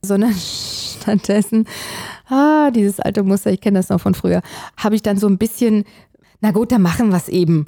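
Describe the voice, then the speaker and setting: Dry and close with no echo, a woman's medium-pitched voice has a dark, mellow tone. The recording is very clean, with a silent background. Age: 40s. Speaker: podcast co-host. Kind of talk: casual chat.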